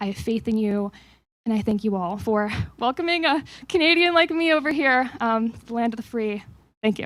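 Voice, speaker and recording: At a moderate pace, a woman speaks in a normal speaking voice with a fairly high pitch and lively intonation. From Canada (Toronto). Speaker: think tank staff member. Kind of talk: staff meeting remarks.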